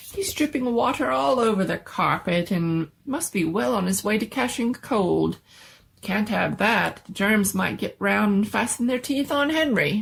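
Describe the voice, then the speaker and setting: A put-on character voice, squeaky and female-sounding, comes at a moderate pace with a medium pitch for a woman. The recording is very clean with a silent background. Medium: read story. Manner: fussy, old-fashioned exclamations.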